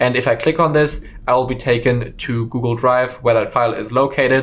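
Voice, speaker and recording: Medium in pitch, a man speaks at a moderate pace. His intonation is monotone and flat. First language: German. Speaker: online course instructor. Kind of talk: tutorial. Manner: casual with frequent fillers.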